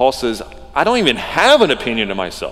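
A man with an American accent speaks at a moderate pace, his pitch swinging very widely. The recording has audible room echo and noticeable background noise. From US South, Georgia. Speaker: pastor. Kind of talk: sermon. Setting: church.

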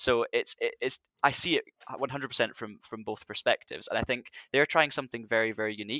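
In a dry, close recording with no echo, a man talks at a very fast pace. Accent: Scottish Highland. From Scottish Highlands. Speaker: video producer. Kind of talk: casual chat.

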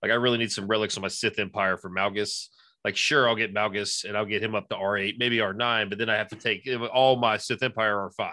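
A man with a Southern US accent, fairly low in pitch, with a bright, sharp tone, monotone, flat intonation and a very fast pace, against a quiet background

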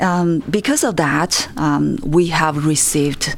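Noticeable background noise sits under a woman speaking with a Chinese accent. Her pitch is fairly low and her intonation lively. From China. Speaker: startup founder and food scientist. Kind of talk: interview.

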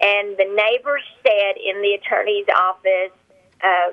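A woman's medium-pitched voice with ordinary pitch variation. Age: 60s. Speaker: caller. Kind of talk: personal testimony. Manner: halting.

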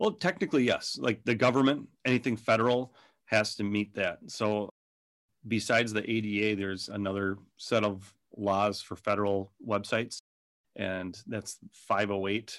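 A man with a Minnesota accent speaks at a fairly low pitch and moderate pace. His intonation is fairly even, on a very clean recording with a silent background. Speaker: digital agency owner. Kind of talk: casual interview.

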